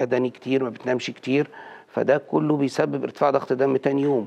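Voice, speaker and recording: A man speaks with an Egyptian accent. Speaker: cardiologist; guest. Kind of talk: TV health interview. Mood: calm, explanatory. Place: studio. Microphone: lapel.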